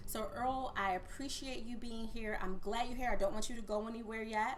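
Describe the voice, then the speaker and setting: With audible room echo, a woman speaks in an animated tone at a fairly high pitch with ordinary pitch variation. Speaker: podcast host and coach. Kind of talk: podcast interview.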